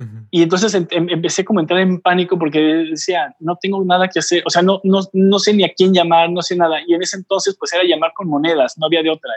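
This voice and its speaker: A man speaks fairly quickly at a high pitch, with hardly any pauses. His intonation stays fairly even. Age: 40s. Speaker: photographer and travel blogger. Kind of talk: casual interview.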